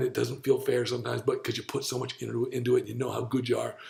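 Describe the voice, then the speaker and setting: This man has a medium pitch. Vocal fry runs through his voice. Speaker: diet coach and podcast host. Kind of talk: casual chat. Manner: animated.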